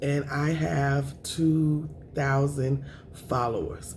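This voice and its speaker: A woman speaks with a very deep, low pitch and a dark, mellow tone. Her voice is somewhat breathy, and the room echo is audible. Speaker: food vlogger. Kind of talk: mukbang eating show chat.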